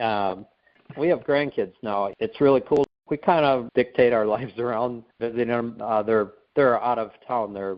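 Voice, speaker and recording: Using a normal speaking voice, a man keeps a mid-range pitch, a medium speed and typical pitch movement. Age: 60s. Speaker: guest sharing health testimony. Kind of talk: casual interview chat.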